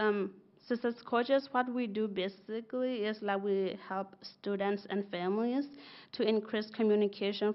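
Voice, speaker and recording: With a Burmese accent, a woman speaks at a moderate pace in a fairly high pitch with fairly even intonation. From Burma/Thailand refugee camp (Karen). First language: Karen. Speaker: bilingual school success coach. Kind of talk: presentation to school board. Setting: school board meeting.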